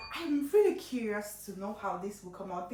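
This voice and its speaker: A woman speaks in an animated tone, with noticeable background noise and audible room echo. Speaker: cooking vlogger. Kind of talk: casual tutorial. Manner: chatty, animated.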